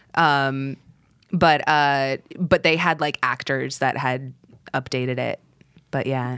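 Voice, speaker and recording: A woman with an American accent speaks at a very slow pace in a very deep, low pitch, leaving long, frequent pauses. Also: fairly even intonation. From Texas. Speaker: streamer. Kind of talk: casual chat.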